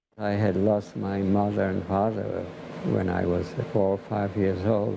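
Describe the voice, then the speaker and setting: Speech comes at a fairly slow pace with fairly even intonation. Noticeable background noise is present. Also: man. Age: 80s+. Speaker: war veteran, photographer. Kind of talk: interview answer.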